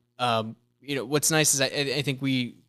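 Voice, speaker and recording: With a bright, sharp tone and monotone, flat intonation, a man with an American accent and medium pitch speaks at a moderate pace in a very clean recording with a silent background. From US South, Gastonia, North Carolina (from age 11; early years Buffalo, New York). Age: 30s. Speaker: church member sharing faith story. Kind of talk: casual interview chat.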